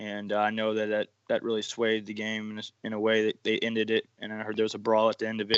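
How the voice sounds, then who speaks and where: A man with a fairly low voice speaks very fast in an American accent, his intonation flat and monotone, with hardly any pauses. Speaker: high school football panelist. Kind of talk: casual sports panel discussion. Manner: halting, repeats words.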